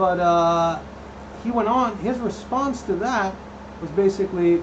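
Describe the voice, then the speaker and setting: A man talks at a fairly slow pace in a high voice with ordinary pitch variation. Noticeable background noise runs under the recording. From Netherlands. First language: Dutch. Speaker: cosplay prop maker and streamer. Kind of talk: live stream chat. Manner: casual, many fillers and restarts.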